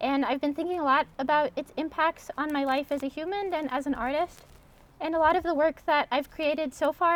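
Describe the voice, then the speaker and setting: A woman with a Montana accent speaks at a fairly quick pace in a high pitch. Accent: American (Montana). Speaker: artist. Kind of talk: artist talk. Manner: hesitant, many ums.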